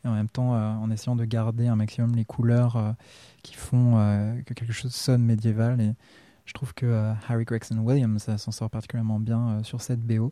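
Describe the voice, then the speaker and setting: A man speaks at a medium pitch and moderate pace in a dark, mellow tone with monotone, flat intonation. The recording is very clean, with a silent background and a dry, close sound with no echo. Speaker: music podcast host. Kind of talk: radio-style music presentation. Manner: hesitant with frequent euh.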